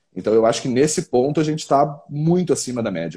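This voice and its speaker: On a very clean recording with a silent background, a man with a medium-pitched, dark, mellow tone talks at a fairly quick pace with ordinary pitch variation. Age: 20s. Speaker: football fan commentator. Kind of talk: casual chat.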